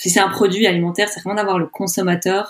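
A woman's voice with fairly even intonation. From Belgium, Brussels. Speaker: entrepreneur. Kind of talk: interview. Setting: remote call. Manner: halting.

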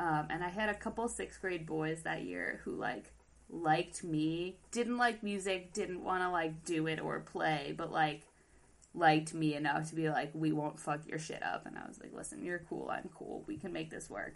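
Her loudness swings widely as the woman speaks at a moderate pace. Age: 20s. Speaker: podcast co-host. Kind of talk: casual chat. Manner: animated.

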